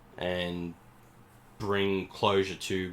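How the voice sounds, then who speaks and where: Speaking in an Australian accent, a man has a very deep, low voice. His intonation is monotone and flat. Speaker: podcast co-host, movie reviewer. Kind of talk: casual chat, movie review.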